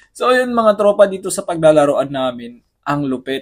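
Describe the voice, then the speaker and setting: This man talks at a moderate pace. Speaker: vlogger and amateur basketball player. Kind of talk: casual vlog. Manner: hushed, lowered voice.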